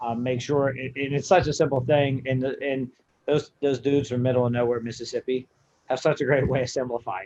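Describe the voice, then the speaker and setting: A man with an unremarkable speaking voice of medium pitch talks at a fairly quick pace with fairly even intonation and an American accent. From western Pennsylvania. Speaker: college strength coach. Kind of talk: casual podcast chat.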